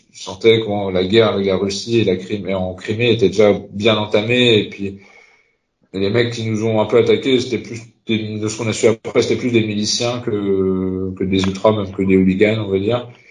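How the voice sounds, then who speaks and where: There is audible room echo as a man speaks at a moderate pace. His fairly low voice is monotone and flat. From Concarneau, Finistère, Brittany. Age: 30s. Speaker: supporters' group president. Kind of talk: casual chat. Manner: halting.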